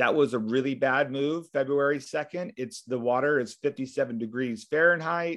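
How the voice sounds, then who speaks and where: Over a quiet background, a man with an American accent talks at a moderate pace with hardly any pauses, using a fairly high pitch and ordinary pitch variation. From US West Coast (Huntington Beach, California). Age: 40s. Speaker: pastor and surfer. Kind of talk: interview.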